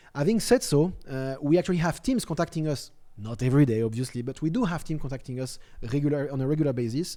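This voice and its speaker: The man talks at a very fast pace with a dark, mellow tone, a fairly high pitch and ordinary pitch variation. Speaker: company executive presenting keynote. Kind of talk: keynote presentation with live Q&A. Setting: studio.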